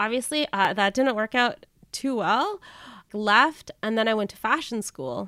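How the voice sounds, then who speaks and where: A woman with a fairly high pitch and a bright, sharp tone speaks at a fairly slow pace. Her intonation is lively, and the sound is dry and close with no echo. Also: very clean recording, silent background. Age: 30s. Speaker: youth minister and podcaster. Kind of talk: casual interview chat.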